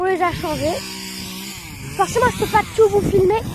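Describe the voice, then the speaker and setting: Over noticeable background noise, a woman speaks at a moderate pace in an extremely high pitch. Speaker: farmer and video creator. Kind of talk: casual vlog narration. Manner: halting, many fillers; loud.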